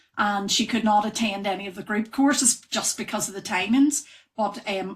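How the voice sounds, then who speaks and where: A woman with a Northern Irish accent, at a moderate pace and with fairly even intonation. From Northern Ireland. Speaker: wellness trainer, yoga and breathwork teacher. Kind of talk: podcast interview. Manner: hesitant, many fillers.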